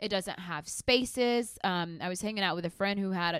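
In a very clean recording with a silent background and a dry, close sound with no echo, a woman speaks with a normal speaking voice in an American accent, at medium pitch with ordinary pitch variation. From Mesquite, Texas. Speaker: anti-racism activist. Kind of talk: casual chat.

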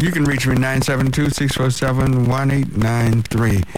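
A man's medium-pitched voice comes through against noticeable background noise. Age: 60s. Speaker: radio host. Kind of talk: call-in radio talk show. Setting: radio studio.

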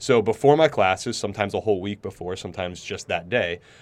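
A man speaks with an American accent on a very clean recording with a silent background. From New York City. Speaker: professor. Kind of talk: interview conversation. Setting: studio. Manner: fast talker.

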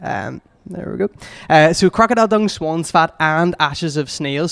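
A man talks at a fairly quick pace in a Northern Irish accent. His pitch is fairly high, and the sound is dry and close with no echo. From Northern Ireland, Lisburn. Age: 20s. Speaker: youth community worker. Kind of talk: talk at a church gathering.

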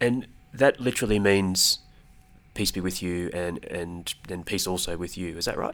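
A man with an Australian accent speaks at a moderate pace. His pitch is very deep and low, with ordinary pitch variation. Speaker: Arabic learner, student of Middle East politics. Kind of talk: casual educational chat.

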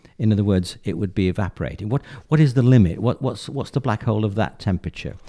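This man has a dark, mellow tone and a medium pitch, in an English accent. His intonation is lively. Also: very clean recording, silent background. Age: 70s. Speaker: retired physicist. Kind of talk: interview. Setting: studio. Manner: halting.

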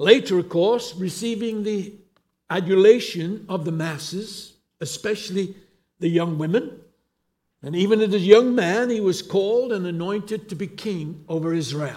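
A man with an English accent speaks in a high pitch with a dark, mellow tone and ordinary pitch variation. His pace is moderate, his loudness swings widely, and room echo is audible. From England. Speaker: pastor. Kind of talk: sermon.

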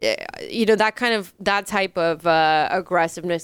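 Here is a normal speaking voice with fairly even intonation. The recording is very clean, with a silent background. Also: woman, dry, close sound with no echo. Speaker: comedy podcast host. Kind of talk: casual chat.

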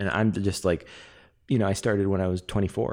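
The recording is very clean, with a silent background. A man with a Californian accent speaks at a fairly low pitch. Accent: General American, Californian. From Los Angeles. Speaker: actor and improviser. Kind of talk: casual chat.

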